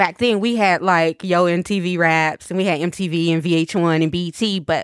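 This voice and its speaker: A woman's plain, everyday voice with an American accent, fairly low in pitch, with ordinary pitch variation. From East Tennessee, US South. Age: 40s. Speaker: entrepreneur and trafficking survivor. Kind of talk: interview, personal testimony.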